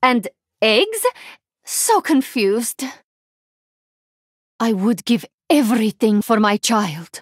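A woman puts on a character voice at fairly high pitch with big pitch swings and a slightly husky edge. She speaks slowly with long, frequent pauses, in a dry, close sound with no echo. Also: very clean recording, silent background.

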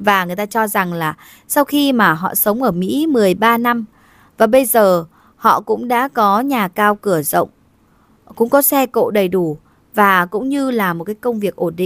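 A fairly high-pitched woman with an ordinary speaking voice, lively intonation and a moderate pace. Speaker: video narrator. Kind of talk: scripted narration. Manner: formal.

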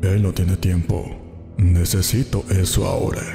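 Over clear music in the background, a man does a put-on character voice at a very deep, low pitch and a moderate pace. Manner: creepy storyteller-style narration voice.

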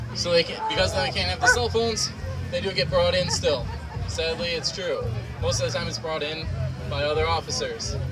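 The speech moves at a fairly quick pace over loud music in the background. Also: man. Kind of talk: public demonstration commentary. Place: open country.

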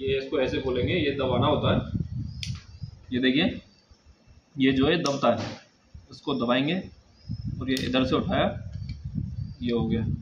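A man speaks with long, frequent pauses against noticeable background noise. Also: ordinary pitch variation. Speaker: vlogger. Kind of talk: unboxing tutorial. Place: home room. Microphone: camera far.

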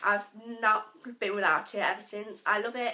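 Amid noticeable background noise, a woman talks at a moderate pace with a fairly high pitch. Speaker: vlogger. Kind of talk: casual vlog. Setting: bedroom, home video. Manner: casual, rambling.

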